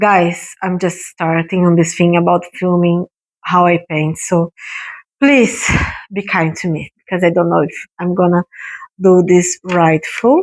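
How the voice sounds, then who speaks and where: A woman speaks at a fairly slow pace with a fairly low pitch and fairly even intonation. The sound is dry and close, with no echo. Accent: non-native. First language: not English. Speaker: art YouTuber. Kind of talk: painting tutorial vlog. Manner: halting, many fillers.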